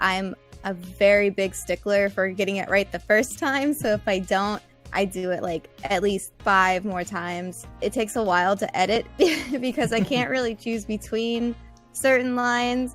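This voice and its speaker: A woman's medium-pitched voice at a moderate pace, ordinary pitch variation, music in the background. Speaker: voice actor. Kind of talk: casual podcast interview answer.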